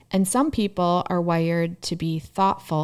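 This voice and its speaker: Over a silent background on a very clean recording, an ordinary speaking voice moves at a moderate pace. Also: woman. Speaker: therapist. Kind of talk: casual chat.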